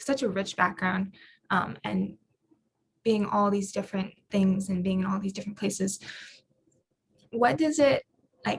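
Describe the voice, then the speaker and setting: A woman talks at a fairly slow pace with long, frequent pauses. Her voice is somewhat breathy. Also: medium pitch for a woman, ordinary pitch variation. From Hawaii, Oahu. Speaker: moderator. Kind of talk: interview. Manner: hesitant.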